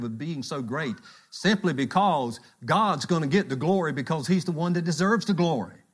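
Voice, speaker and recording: A man with an ordinary speaking voice, fairly high pitch, fairly quick pace and lively intonation. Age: 60s. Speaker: church elder preaching. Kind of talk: sermon. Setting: church.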